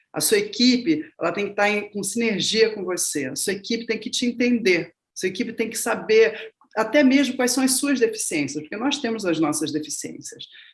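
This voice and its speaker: A woman talks at a moderate pace with a somewhat breathy sound. Her pitch is fairly high and her intonation lively. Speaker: film and show producer. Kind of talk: masterclass talk. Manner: forceful way of speaking.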